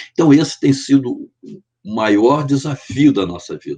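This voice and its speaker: The sound is dry and close, with no echo, as a man talks. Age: 70s. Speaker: artisanal fisherman. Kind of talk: podcast interview. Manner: earnest, impassioned.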